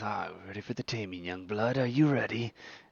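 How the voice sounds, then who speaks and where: A man's put-on character voice at medium pitch and a fairly quick pace. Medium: actual play. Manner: commanding, menacing.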